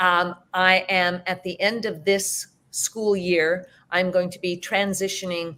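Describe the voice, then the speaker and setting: A woman's fairly low, monotone voice with a Canadian accent, flat in intonation and fairly slow in pace. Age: 60s. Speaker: teacher and hypnotherapist. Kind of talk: interview.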